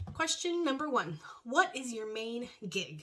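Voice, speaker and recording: Bright and sharp in tone, the voice moves at a fairly slow pace with very wide pitch swings. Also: woman. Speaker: beauty youtuber. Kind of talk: casual vlog talk. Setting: home recording space.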